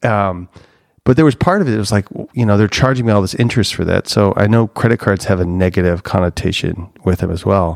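With an American accent, a man talks at a very fast pace with ordinary pitch variation, the sound dry and close with no echo and the recording very clean against a silent background. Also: fairly low pitch for a man. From US Midwest, Chicago northwest suburbs. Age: 40s. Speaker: marketing executive. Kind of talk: casual interview chat.

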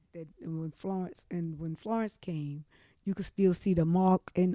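On a very clean recording with a silent background and a dry, close sound with no echo, a woman with an eastern North Carolina accent speaks at a fairly slow pace in a fairly low pitch, with a dark, mellow tone and fairly even intonation. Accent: Southern US, eastern North Carolina. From eastern North Carolina, Trenton. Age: 60s. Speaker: flood survivor. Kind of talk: oral history interview. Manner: halting, frequent restarts.

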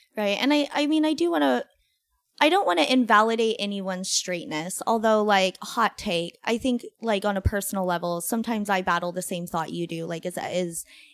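Lively intonation marks a woman's fairly high-pitched voice, delivered at a moderate pace. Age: 20s. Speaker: podcast host. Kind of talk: casual chat. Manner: hesitant, filler-heavy.

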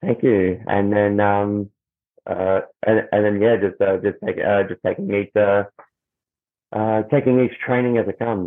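A man with an Australian accent speaks at a fairly low pitch and a fairly slow pace. His intonation is fairly even, with long, frequent pauses. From Australia, Melbourne. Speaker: musician and professional wrestler. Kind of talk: interview. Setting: video call. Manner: halting, many fillers and repetitions.

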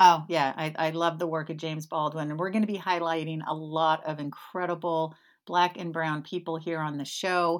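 In a very clean recording with a silent background, a woman with a fairly low pitch talks at a moderate pace, hardly pausing. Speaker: podcast host. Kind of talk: casual chat. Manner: animated.

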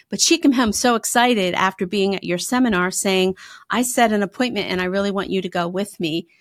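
Recorded very cleanly against a silent background, the speaker has a slight Pennsylvania accent, ordinary pitch variation and a fairly quick pace. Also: woman. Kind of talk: casual interview chat.

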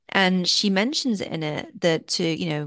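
A woman with an English accent speaks at a medium pitch, her intonation lively and marked by vocal fry. The background is quiet. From England, Worcestershire. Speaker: film festival consultant and author. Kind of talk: interview.

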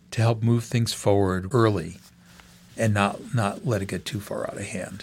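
A man speaks in an ordinary speaking voice at a fairly low pitch. His pace is moderate and his intonation fairly even. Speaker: venture capitalist. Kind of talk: interview.

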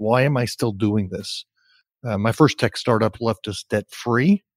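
A man has a plain, everyday voice, medium in pitch with ordinary pitch variation, at a moderate pace, with a dry, close sound and no echo. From US Northeast, New Jersey. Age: 60s. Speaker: career coach. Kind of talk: interview. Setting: call.

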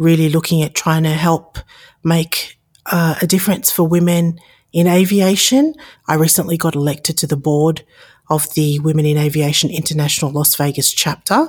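A woman speaks in an Australian accent with a very deep, low pitch and a somewhat breathy voice. Her intonation stays fairly even at a moderate pace. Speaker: podcast host and aviation consultant. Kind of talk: solo podcast introduction.

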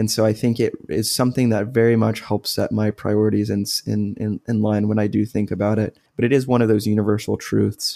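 A man talks at a fairly quick pace in a dark, mellow tone, his intonation flat and monotone. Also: fairly low pitch for a man, hardly any pauses. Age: 20s. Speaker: undergraduate student and podcast co-host. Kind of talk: casual educational discussion.

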